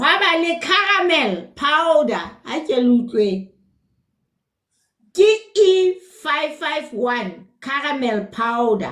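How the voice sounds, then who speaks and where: A woman talks at a very slow pace, leaving long, frequent pauses. Her high pitch moves in very wide swings. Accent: Lesotho. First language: Sesotho. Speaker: nutrition educator. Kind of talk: live stream talk. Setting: live stream.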